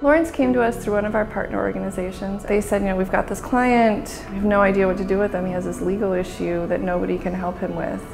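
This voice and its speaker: A woman talks very fast with hardly any pauses. Music plays in the background. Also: medium pitch for a woman, ordinary pitch variation. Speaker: legal aid executive director. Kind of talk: interview answer.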